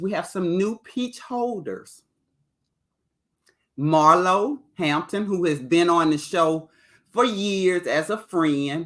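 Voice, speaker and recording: Speech comes at a very slow pace with lively intonation, on a very clean recording with a silent background. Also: woman. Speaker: TV show reviewer, live streamer. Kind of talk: live stream review chatting with viewers. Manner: loud.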